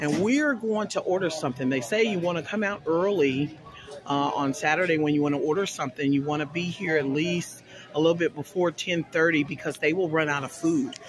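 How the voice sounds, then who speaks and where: A man at a fairly quick pace, ordinary pitch variation, dry sound with no echo and noticeable background noise. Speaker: food vlogger. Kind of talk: casual vlog chat. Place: street. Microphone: phone near.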